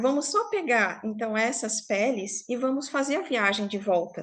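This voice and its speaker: The background is quiet and the pace is moderate. Pitch varies in an ordinary way. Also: woman. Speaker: storyteller. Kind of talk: oral storytelling to a live online group. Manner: informal, conversational.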